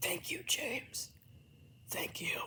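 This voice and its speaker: A raspy whisper comes in a put-on character voice. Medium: read story. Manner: weary.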